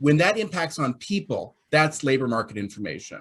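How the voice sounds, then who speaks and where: A man talks at a fairly quick pace in a fairly high, somewhat breathy voice. His intonation is lively. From Canada. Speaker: labour market report publisher. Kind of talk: panel discussion.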